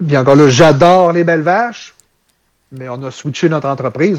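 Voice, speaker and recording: Speaking at a moderate pace in a Quebec accent, a man uses a fairly high pitch with ordinary pitch variation. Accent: Québécois French. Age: 30s. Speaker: dairy farmer. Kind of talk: casual interview.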